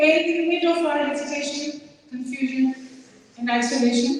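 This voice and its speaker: In a Pakistani accent, a woman with a high pitch talks at a fairly slow pace and fairly even intonation, with audible room echo and noticeable background noise. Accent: Pakistani accent, unapologetic. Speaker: community organizer. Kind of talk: speech at community event.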